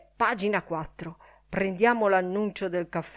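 This is a natural reading voice. It reads through the text.

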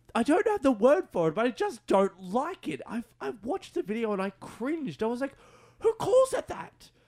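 A man with an Australian accent at an extremely high pitch, very wide pitch swings, a moderate pace, and a dry, close sound with no echo. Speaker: radio host. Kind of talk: casual radio chat. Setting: radio studio.

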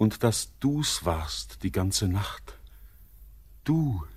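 A man's put-on character voice, fairly low in pitch with big pitch swings and a slightly mellow tone, at a very slow pace on a very clean recording with a silent background.

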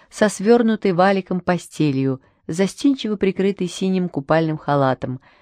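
Lively intonation carries this reading aloud in a natural voice.

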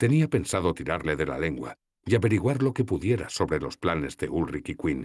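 The voice is an unforced reading voice, set against a quiet background.

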